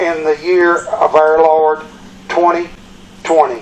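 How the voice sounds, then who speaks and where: Noticeable background noise under a man's moderate-paced speech in an American accent. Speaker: mayor. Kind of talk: formal proclamation reading.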